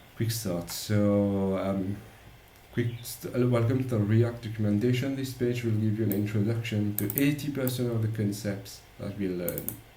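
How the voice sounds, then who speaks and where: Audible room echo surrounds a man whose fairly low voice moves at a fairly slow pace with fairly even intonation. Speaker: software developer. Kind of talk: tutorial. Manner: halting.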